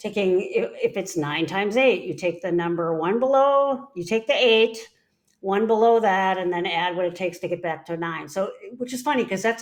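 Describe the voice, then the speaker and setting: A woman with a medium pitch speaks at a moderate pace in an unremarkable speaking voice with lively intonation. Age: 60s. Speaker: psychologist. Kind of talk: casual chat.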